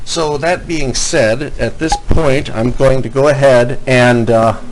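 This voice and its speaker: At a fairly slow pace, a man speaks at a medium pitch with ordinary pitch variation. Room echo is audible, and background noise is noticeable. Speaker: college instructor. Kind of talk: tutorial. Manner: loud. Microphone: quiet mic, turned up.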